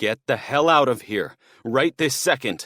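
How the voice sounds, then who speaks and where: In a put-on character voice, a man growls with a raised, projected delivery. His pitch is medium and his pace moderate. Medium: read story. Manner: shaky.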